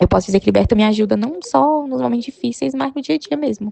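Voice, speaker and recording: Noticeable background noise can be heard as a woman talks. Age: 30s. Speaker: sales representative, pet owner. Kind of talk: recorded personal testimony.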